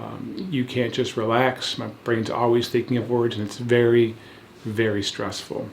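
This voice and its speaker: A man's medium-pitched voice at a moderate pace, with fairly even intonation, audible room echo and noticeable background noise. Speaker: founder of a stuttering program. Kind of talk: testimony. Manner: fluent, measured.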